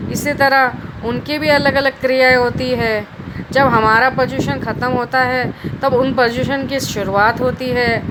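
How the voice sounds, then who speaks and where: Over noticeable background noise, a woman speaks in a high pitch with monotone, flat intonation. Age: 30s. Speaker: speech competition participant. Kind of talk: prepared speech. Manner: halting with fillers.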